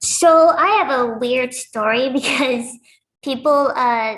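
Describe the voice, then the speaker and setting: This woman speaks with a high-pitched voice. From Lebanon. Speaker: professional wrestler. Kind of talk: casual interview.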